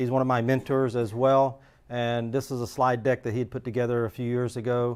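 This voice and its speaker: Flat, monotone delivery from a man, his pitch in the medium range. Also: fairly quick pace. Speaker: security engineer. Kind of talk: lecture. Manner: halting, many fillers.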